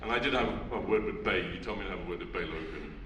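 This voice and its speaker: A man at a very fast pace, amid noticeable background noise and audible room echo. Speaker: audience member. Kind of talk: audience question. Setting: cinema with audience.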